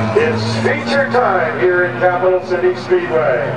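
The speech moves at a fairly slow pace. Loud background noise fills the recording. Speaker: track announcer. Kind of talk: live race commentary over the track PA. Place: stadium.

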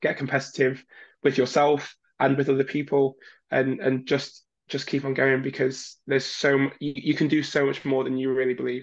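A man's fairly high pitch stays in a monotone, flat intonation at a moderate pace, with a quiet background. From northern England, Leeds; northern England. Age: 20s. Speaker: Olympic diver. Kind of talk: interview. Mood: warm, encouraging. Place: home room. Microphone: webcam.

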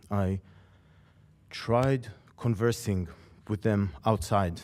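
A man with a non-native accent speaks in a fairly low pitch, his dark, mellow tone carried by fairly even intonation. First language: not English. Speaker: public commenter. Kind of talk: public comment.

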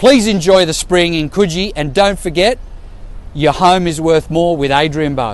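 A man with an Australian accent talks at a moderate pace and high pitch with ordinary pitch variation, the sound dry with no echo. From Sydney, Australia. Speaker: real estate agent; presenter. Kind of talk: local history presentation to camera. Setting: outdoors. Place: street. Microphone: phone near.

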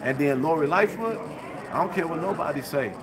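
Noticeable background noise behind fairly quick talking. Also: man. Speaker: independent journalist. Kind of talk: public comment at a meeting. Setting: meeting hall with live audience. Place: hall. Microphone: phone near.

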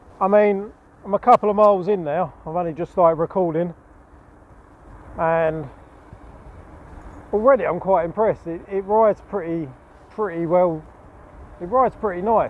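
A man's high pitch and ordinary pitch variation at a moderate pace, with long, frequent pauses, a dry sound with no echo and light background noise. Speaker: e-bike reviewer. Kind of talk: casual review commentary while riding. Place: bicycle. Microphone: lapel.

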